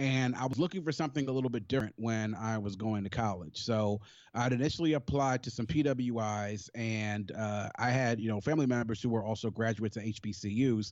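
A man with an American accent talks fairly quickly at a medium pitch, with hardly any pauses. He has a plain, everyday voice with ordinary pitch variation. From Maryland, Prince George's County (DC area). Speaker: HBCU alumnus. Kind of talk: casual interview.

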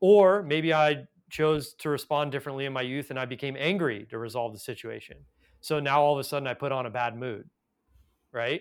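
In a very clean recording with a silent background, a man with an American accent talks fairly quickly in an unremarkable speaking voice, fairly high-pitched with ordinary pitch variation. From US West Coast, Los Angeles. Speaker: Ayurvedic doctor and yoga teacher. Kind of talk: interview conversation.

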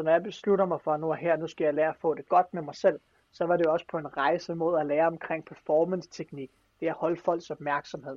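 At a fairly quick pace, a man talks in a fairly high voice. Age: 20s. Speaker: motivational speaker. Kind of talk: casual chat. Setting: video call. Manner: animated.

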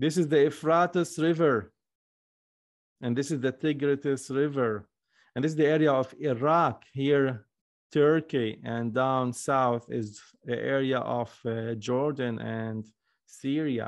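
There is a quiet background behind a man speaking at a very slow pace. He has a medium pitch with ordinary pitch variation. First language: Arabic, Hebrew and Aramaic. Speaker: Aramaic language teacher. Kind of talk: online course lecture.

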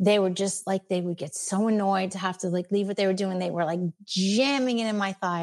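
An ordinary speaking voice, this woman has an American accent, a medium pitch, and fairly even intonation. She speaks at a fairly quick pace on a very clean recording with a silent background. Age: 50s. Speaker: retired special education teacher. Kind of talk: interview.

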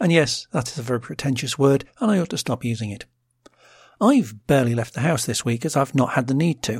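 A man with a British accent speaks at medium pitch and a fairly quick pace, somewhat breathy. The recording is very clean, with a silent background. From Britain. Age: middle-aged. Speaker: podcast host. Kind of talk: scripted solo podcast narration with linked contributions.

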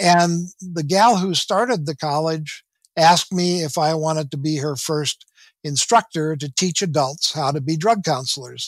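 On a very clean recording with a silent background, a man with a normal speaking voice talks at a moderate pace, his pitch fairly high with ordinary variation. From US Midwest, southwestern Minnesota. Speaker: spiritual messenger, retired teacher. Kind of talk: interview.

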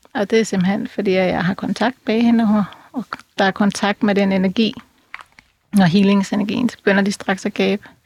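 This woman's voice is somewhat breathy. Her pitch stays fairly even. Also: medium pitch for a woman, moderate pace, dry, close sound with no echo. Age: 50s. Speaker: animal communicator and clairvoyant. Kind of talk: interview. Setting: studio.

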